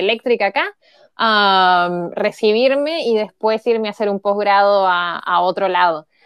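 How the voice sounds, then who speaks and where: A woman speaks slowly in a Uruguayan accent. Her fairly high pitch shows ordinary variation. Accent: Uruguayan Rioplatense Spanish. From Uruguay, Montevideo. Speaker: tech entrepreneur, engineer. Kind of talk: interview conversation.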